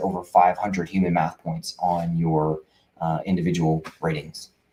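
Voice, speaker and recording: A man speaks with an American accent and ordinary pitch variation. His tone is dark and mellow. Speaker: veteran benefits advisor. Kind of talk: casual talk to camera. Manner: fast.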